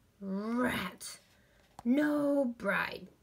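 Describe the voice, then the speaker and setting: A woman growls in a put-on character voice pitched high. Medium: read story. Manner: snarling, grunting.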